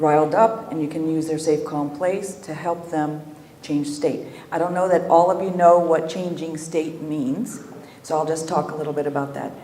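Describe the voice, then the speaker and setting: Audible room echo fills the recording. Noticeable background noise is also present. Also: woman, very deep, low pitch for a woman, fairly even intonation, moderate pace. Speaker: EMDR trainer. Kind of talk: lecture. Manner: soft-spoken.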